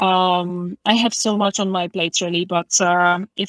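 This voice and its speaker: Spoken in a Polish accent with monotone, flat intonation, the voice has a dry, close sound with no echo on a very clean recording with a silent background. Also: woman. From Poland. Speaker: English teacher. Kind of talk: interview. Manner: hesitant, many fillers.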